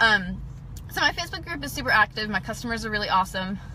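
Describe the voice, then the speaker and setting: The speaker is a woman. Her tone is animated. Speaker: direct sales consultant. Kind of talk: live video training. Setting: in a parked car.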